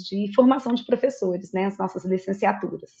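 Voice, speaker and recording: Somewhat breathy, a woman talks at a moderate pace and a medium pitch. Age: 40s. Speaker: university teaching director. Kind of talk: formal opening speech.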